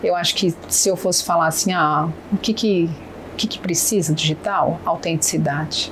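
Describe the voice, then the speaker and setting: With noticeable background noise behind her, a woman speaks at a moderate pace with fairly low pitch and fairly even intonation. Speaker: businesswoman and negotiation mentor. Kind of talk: podcast interview.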